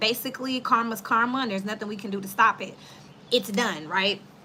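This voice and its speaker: Noticeable background noise sits under a woman's fairly high pitch, which shows ordinary pitch variation. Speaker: tarot reader. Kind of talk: tarot reading to online audience. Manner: fast; upbeat.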